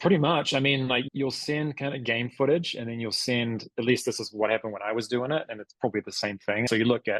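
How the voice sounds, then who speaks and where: A man's very fast delivery in a New Zealand accent, medium in pitch with ordinary pitch variation, hardly any pauses, and a dry, close sound with no echo. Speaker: former college basketball player. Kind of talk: podcast interview. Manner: animated.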